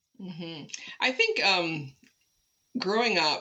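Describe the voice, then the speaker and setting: A woman's plain, everyday voice, fairly low in pitch, with ordinary pitch variation. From Toronto, Canada. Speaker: city arts and culture executive. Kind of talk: interview. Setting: at home, remote recording.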